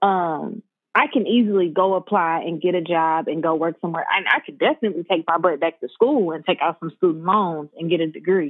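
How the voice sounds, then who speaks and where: With a plain, everyday voice and an American accent, a woman of fairly low pitch talks at a fairly quick pace with ordinary pitch variation and hardly any pauses. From US Midwest, St. Louis County, Missouri. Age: 20s. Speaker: graphic designer. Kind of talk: casual chat.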